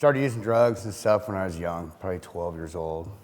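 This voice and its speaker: Lively intonation marks a man's very deep, low voice. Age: 50s. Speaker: recovering addict, program member. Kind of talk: testimony.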